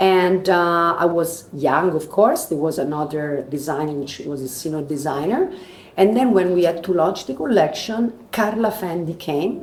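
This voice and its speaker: Here a woman talks at a fairly low pitch with ordinary pitch variation and a moderate pace. Room echo can be heard. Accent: Roman. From Italy, Rome. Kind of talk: interview. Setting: live at a trade fair. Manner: halting.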